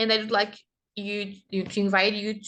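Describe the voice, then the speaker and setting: Over a quiet background, a woman with a Brazilian accent talks in a medium pitch with monotone, flat intonation. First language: Portuguese. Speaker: kindergarten teacher and master's student presenting research. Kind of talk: conference presentation. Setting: online conference recording. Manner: halting, with self-corrections.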